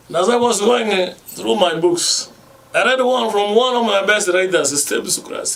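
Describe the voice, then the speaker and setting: Noticeable background noise and audible room echo accompany a man speaking at a moderate pace in a high pitch. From Kenya. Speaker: radio host. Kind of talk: radio talk.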